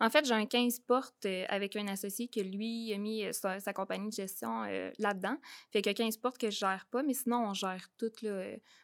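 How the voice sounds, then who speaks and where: Recorded very cleanly against a silent background, a woman speaks in a normal speaking voice at a medium pitch, with fairly even intonation and a moderate pace. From Quebec, Beauce region. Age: 20s. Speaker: real estate investor. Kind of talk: interview.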